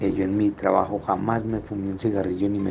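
Words come at a moderate pace in a monotone, flat delivery. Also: man. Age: 60s. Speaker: businessman sharing life story. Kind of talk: testimony.

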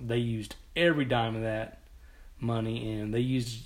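A man with an American accent speaks at a medium pitch and a fairly slow pace. His intonation stays fairly even, and the room echo is audible. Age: 40s. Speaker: softball league organizer and podcast host. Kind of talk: casual solo podcast monologue. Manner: halting, with fillers and repeated words.

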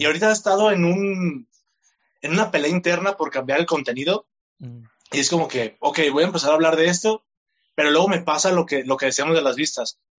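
A high-pitched male voice at a fairly quick pace, with ordinary pitch variation. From Mexico, Tlaquepaque, Jalisco. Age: 20s. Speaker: content creator. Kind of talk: interview.

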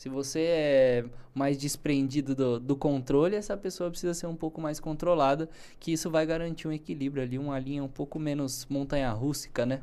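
A very clean recording against a silent background, delivered at a moderate speed. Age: 20s. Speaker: financial education show host. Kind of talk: casual chat. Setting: studio.

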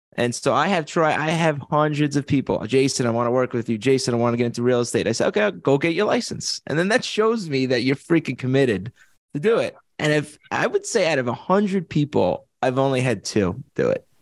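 Fairly quick, lively speech in an East Coast accent, with very even loudness and a dry, close sound with no echo. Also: man, fairly high pitch for a man. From Long Island, New York. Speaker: real estate investor and agent. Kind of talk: interview.

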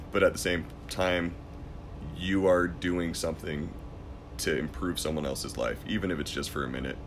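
In a room with audible echo, a man with a very deep, low voice speaks at a moderate pace with ordinary pitch variation and long, frequent pauses. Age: 30s. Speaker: MMA event commentator and war veteran. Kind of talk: casual chat.

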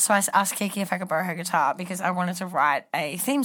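A woman's very fast Australian-accented speech, medium in pitch with ordinary pitch variation, on a very clean recording with a silent background. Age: 20s. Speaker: reality TV contestant. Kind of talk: casual chat.

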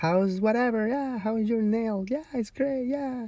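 In a Spanish accent, a man speaks with a dark, mellow tone. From Ecuador. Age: 30s. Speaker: podcast host. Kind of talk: casual monologue. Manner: rambling with many fillers.

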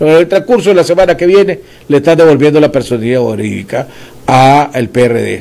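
Lively in intonation, a man speaks at a fairly quick pace in a fairly high pitch. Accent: Nicaraguan. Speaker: political commentator and show host. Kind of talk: political interview show.

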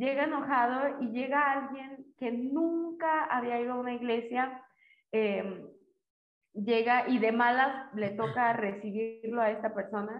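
Fairly slow, high-pitched speech from a woman. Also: ordinary pitch variation. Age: young. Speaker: student. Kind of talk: casual chat.

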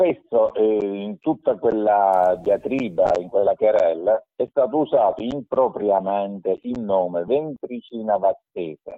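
Speaking at a very slow pace, a man talks with hardly any pauses. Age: 60s. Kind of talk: explanatory discussion, slightly heated. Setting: phone or video call.

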